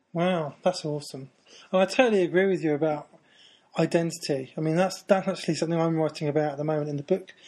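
A man in a British accent talks at a very fast pace and fairly high pitch, with fairly even intonation and a quiet background. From Britain. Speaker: podcast host. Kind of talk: casual interview chat.

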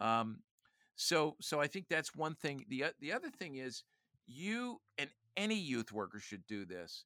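Fairly slow and with very wide pitch swings, a man talks in a fairly high, bright, sharp voice touched by vocal fry. The sound is dry and close with no echo, on a very clean recording with a silent background. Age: 60s. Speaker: youth ministry leader and author. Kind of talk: casual interview conversation. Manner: animated, jokes.

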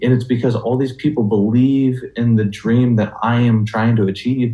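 A man with an American accent talks at a moderate pace and medium pitch, with fairly even intonation. His dark, mellow tone is somewhat breathy. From western Washington, US (Burlington, Skagit Valley). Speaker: CrossFit athlete, former college football player. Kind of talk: interview. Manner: halting, many fillers.

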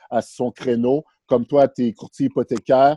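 With a dark, mellow tone at a medium pitch, a man speaks at a moderate pace with fairly even intonation, the sound dry and close with no echo. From Montreal, Quebec (Villeray). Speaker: real estate broker. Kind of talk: interview.

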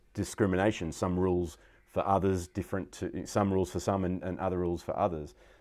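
A man speaks with an Australian accent. His voice is very deep and low. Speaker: podcast host. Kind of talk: interview.

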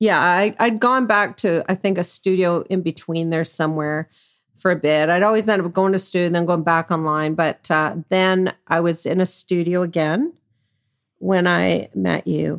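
In a Canadian accent, a woman with an unremarkable speaking voice and fairly low pitch talks at a moderate pace with fairly even intonation and very even loudness, on a very clean, silent-background recording that sounds dry and close with no echo. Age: 60s. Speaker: sex worker. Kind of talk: interview.

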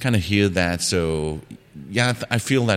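A man is speaking. He has a Danish accent. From Denmark. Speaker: travel podcaster. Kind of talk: casual interview. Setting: in person. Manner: halting.

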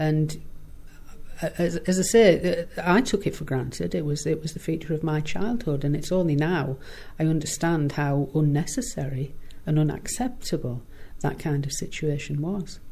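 Her voice is very deep and low, with a dark, mellow tone and a somewhat breathy quality. The woman keeps a moderate pace with ordinary pitch variation. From northern England, Middlesbrough. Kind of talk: interview. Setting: office.

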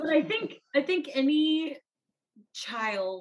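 Her voice somewhat breathy, a woman talks with lively intonation. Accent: American. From South Texas, US; teen years in India. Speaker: author. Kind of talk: casual chat.

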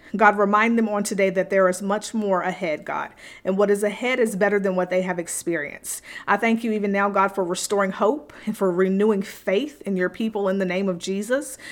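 A plain, everyday voice from a woman, medium in pitch, fairly quick, with fairly even intonation. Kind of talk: fervent prayer spoken over listeners. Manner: earnest, fervent, pleading; repetitive, rhythmic, with pauses and fillers.

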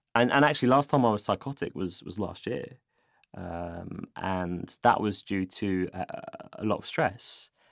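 On a very clean recording with a silent background, the intonation is lively in a plain, everyday voice. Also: man, fairly low pitch for a man. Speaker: guest sharing mental health experience.

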